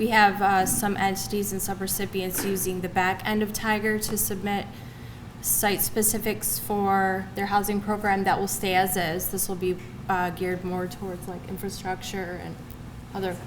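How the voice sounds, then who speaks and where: Soft-spoken, a woman talks with monotone, flat intonation. Noticeable background noise and audible room echo surround her. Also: medium pitch for a woman, moderate pace. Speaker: state agency trainer. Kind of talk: training presentation.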